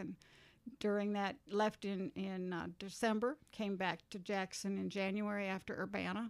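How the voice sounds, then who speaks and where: A woman's medium-pitched voice at a fairly slow pace, a normal speaking voice. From US Midwest. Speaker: community ministry worker. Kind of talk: casual interview conversation.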